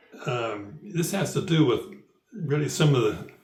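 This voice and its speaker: Lively intonation from a man with a somewhat breathy voice. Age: 80s+. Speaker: elderly citizen sharing views. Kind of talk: personal commentary; reading aloud. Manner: halting.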